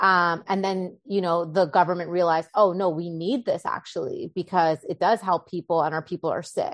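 A woman with a Canadian accent uses a plain, everyday voice, fairly low in pitch, at a moderate pace with fairly even intonation, sounding dry and close with no echo over a quiet background. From Canada, Winnipeg. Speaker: acupuncturist. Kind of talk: interview.

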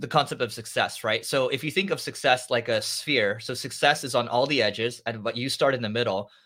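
The tone here is bright and sharp. It belongs to a man. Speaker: marketing agency founder and podcast host. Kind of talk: casual interview chat. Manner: fast talker.

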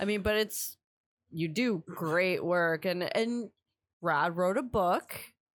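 A woman speaks very slowly, her loudness very even and her pitch varying in an ordinary way. The recording is very clean, with a silent background. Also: medium pitch for a woman. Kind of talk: casual banter.

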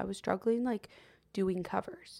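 Moving at a moderate pace, a woman with an ordinary speaking voice talks at a medium pitch with ordinary pitch variation. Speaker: singer-songwriter and podcast host. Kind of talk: casual chat.

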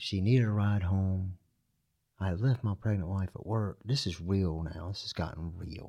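Dark and mellow in tone and somewhat breathy, the voice moves at a moderate pace with ordinary pitch variation on a very clean recording with a silent background. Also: man, very deep, low pitch for a man. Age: 50s. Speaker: person in recovery. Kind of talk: testimony.

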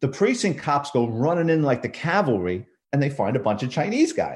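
The voice is somewhat breathy, with a New York accent. The pace is moderate. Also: man. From New York City, the Bronx. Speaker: retired police detective and crime author. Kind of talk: casual interview.

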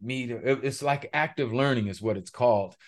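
Over a quiet background, a man with a Californian accent talks at a medium pitch with fairly even intonation. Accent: Californian American English. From Los Angeles, Pacoima. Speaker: former pro football player and mind mapping coach. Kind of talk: interview.

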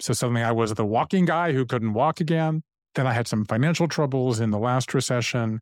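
Recorded very cleanly against a silent background, with a dry, close sound and no echo, a man in a normal speaking voice talks at a medium pitch and a fairly quick pace, with very even loudness and ordinary pitch variation. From US South, Savannah, Georgia. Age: 50s. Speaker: author. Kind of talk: interview conversation.

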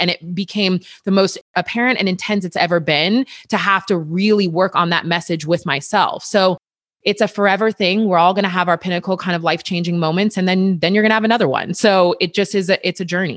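A woman with a plain, everyday voice talks at a fairly quick pace and medium pitch. Her intonation is fairly even, her loudness very even, and the sound dry and close with no echo. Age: 30s. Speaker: personal trainer. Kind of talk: casual chat.

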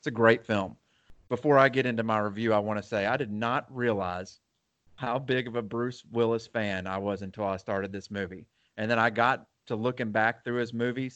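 A man with a plain, everyday voice speaks at a moderate pace and medium pitch with fairly even intonation. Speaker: movie podcast co-host. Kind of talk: casual chat. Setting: at home.

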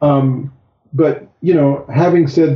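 A somewhat breathy man's voice, fairly slow in pace, with fairly even intonation. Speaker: surfer and guest interviewer. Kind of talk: casual interview.

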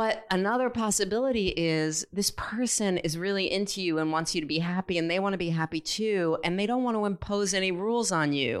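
In an American accent, this is an unremarkable speaking voice at a fairly quick pace with hardly any pauses, very even loudness and ordinary pitch variation, on a very clean recording with a silent background. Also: woman, medium pitch for a woman. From California. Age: 50s. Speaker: participant in group discussion. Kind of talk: facilitated group dialogue. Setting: room with audience in a circle.

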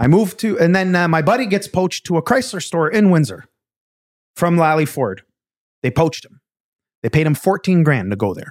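Speaking at a fairly quick pace with a high pitch, a man leaves long, frequent pauses and makes big swings in loudness. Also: lively intonation. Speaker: car sales manager. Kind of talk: casual chat.

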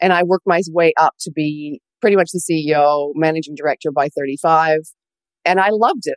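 A woman with a normal speaking voice talks at a moderate pace, her pitch fairly low and her pitch variation ordinary, in a dry, close sound with no echo. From Canada. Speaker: business coach. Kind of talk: interview.

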